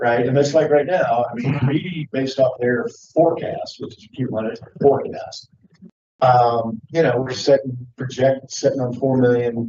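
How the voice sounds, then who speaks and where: A man at a medium pitch talks at a moderate pace, with big swings in loudness. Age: 60s. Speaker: county council member. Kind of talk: government work session discussion. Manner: animated.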